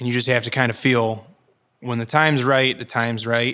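Bright and sharp in tone, a man with an American accent talks at medium pitch and a fairly quick pace on a very clean recording, silent background. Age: 20s. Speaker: farmer. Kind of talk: interview. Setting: on location at a winery.

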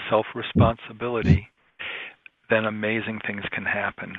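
This voice is a man's. It rests at a medium pitch. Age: 60s. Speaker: composer and sound healer. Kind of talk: radio interview. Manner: halting, with frequent ums.

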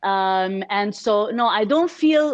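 A woman with an Arabic accent and very wide pitch swings. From Kuwait, Egyptian family. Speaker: entrepreneur, NGO founder. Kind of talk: casual interview.

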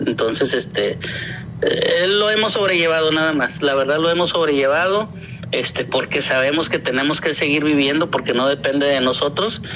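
A man with a fairly high voice keeps his loudness very even. Noticeable background noise is present. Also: ordinary pitch variation, moderate pace. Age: 50s. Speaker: activist father entering politics. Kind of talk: interview. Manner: halting.

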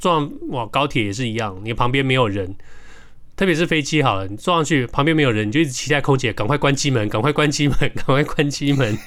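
Speaking at a very fast pace, a man keeps a medium pitch. His pitch variation is ordinary. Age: middle-aged. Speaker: podcast co-host. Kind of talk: casual chat.

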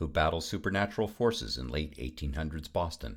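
With vocal fry, the man delivers his words at a fairly quick clip. Behind him the background is silent, and the recording is very clean. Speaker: announcer. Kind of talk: scripted announcement, intro and credits.

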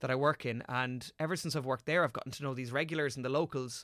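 A bright, sharp tone with a strong Irish accent at a very fast pace, on a very clean recording with a silent background. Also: man. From Ireland. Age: 20s. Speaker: actor. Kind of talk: casual chat.

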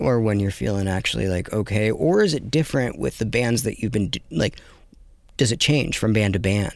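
With a plain, everyday voice, a man speaks at a moderate pace and fairly low pitch, using lively intonation. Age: 30s. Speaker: podcast host. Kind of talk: casual chat.

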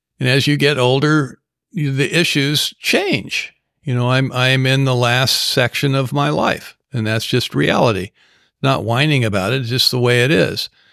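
A man with an American accent, medium pitch, ordinary pitch variation, a bright, sharp tone and a moderate pace on a very clean recording with a silent background. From Southern California. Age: 70s. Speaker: recovering alcoholic and sponsor. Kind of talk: casual interview.

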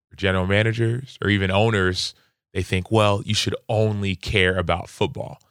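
Moderately paced, a man with an American accent has a normal speaking voice at a fairly low pitch. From Dallas, Texas, Nigerian household. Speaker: NFL player and author. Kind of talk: podcast interview.

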